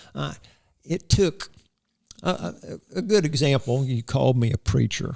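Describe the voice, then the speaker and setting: A man of medium pitch with vocal fry speaks at a moderate pace in a rural Florida accent, his pitch swinging very widely between long, frequent pauses. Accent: US Southern, rural Florida. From Florida, Hardee County. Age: 60s. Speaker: cowboy church preacher. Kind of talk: interview. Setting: studio. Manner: animated.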